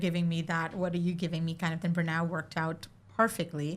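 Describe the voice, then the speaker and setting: A woman talks at a fairly quick pace with an Indian accent. Her fairly low voice stays monotone, with flat intonation. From India (Mumbai). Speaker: arts center executive director. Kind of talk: casual chat.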